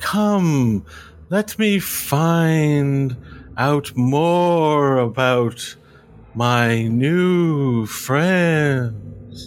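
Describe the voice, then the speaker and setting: A man's put-on character voice, fairly high in pitch, at a very slow pace over clear background noise. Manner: soothing, coaxing, quietly insistent.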